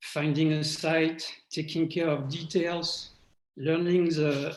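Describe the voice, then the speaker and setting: A man with a French accent, fairly high pitch, monotone, flat intonation and a fairly slow pace. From France. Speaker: award recipient. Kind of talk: acceptance speech. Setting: video call. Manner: halting.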